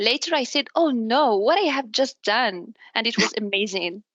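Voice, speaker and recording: A woman with an Arabic accent speaks at a moderate pace in a high voice. Her pitch varies an ordinary amount, and the sound is dry and close with no echo. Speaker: business development manager. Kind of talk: interview. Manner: halting, with self-repairs.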